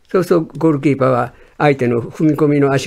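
Talking at a very fast pace, a man with a fairly high pitch and a dark, mellow tone shows ordinary pitch variation. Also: quiet background. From Kobe, Hyogo (Kansai); Hyogo, Japan. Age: 90s. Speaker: sports journalist. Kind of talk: radio interview. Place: studio.

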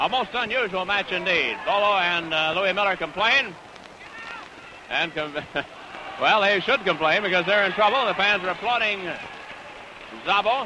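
With noticeable background noise but a dry sound with no echo, a man with a high pitch uses a raised, projected voice at a moderate pace, with ordinary pitch variation, very even loudness, and long, frequent pauses. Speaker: wrestling commentator. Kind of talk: live sports commentary. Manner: enthusiastic. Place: stadium. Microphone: old recording.

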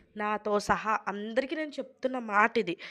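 A woman is speaking. The background is quiet. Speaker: family vlogger. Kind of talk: vlog narration. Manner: casual, chatty.

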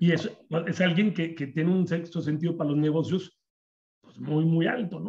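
A man's high voice with a Mexican accent and fairly even intonation. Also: moderate pace, big swings in loudness. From Mexico. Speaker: insurance agents association organizer. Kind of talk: webinar moderation. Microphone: video call.

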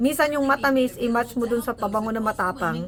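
There is noticeable background noise. A woman speaks at a fairly high pitch. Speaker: vlogger, nurse. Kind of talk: casual tutorial vlog. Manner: animated.

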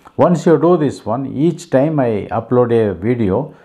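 Quiet background behind a male speaker, pitch varying in an ordinary way. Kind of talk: announcement to viewers. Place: home room.

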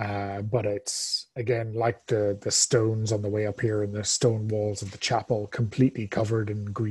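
Here a text is read aloud in a natural voice.

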